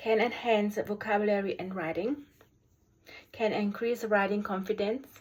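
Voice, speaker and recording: Here a woman talks with a German accent. Her pace is moderate and her intonation fairly even. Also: medium pitch for a woman. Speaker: special education teacher. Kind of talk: video review presentation. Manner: halting, many fillers.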